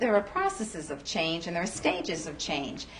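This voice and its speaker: At a medium pitch, a woman speaks over noticeable background noise. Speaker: radio talk show host, clinical psychologist. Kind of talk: radio call-in counseling. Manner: calm, guiding.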